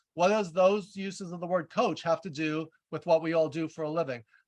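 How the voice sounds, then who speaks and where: A loud man speaks with ordinary pitch variation. The sound is dry and close, with no echo. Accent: slight New York. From New York. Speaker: leadership coach and author. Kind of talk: webinar presentation. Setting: video call. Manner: fast.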